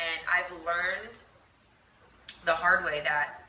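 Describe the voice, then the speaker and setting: Recorded with audible room echo and noticeable background noise, a woman with a fairly low pitch talks in an American accent. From Pennsylvania, Philadelphia area. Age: 20s. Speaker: lifestyle vlogger. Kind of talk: casual chat. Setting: at home.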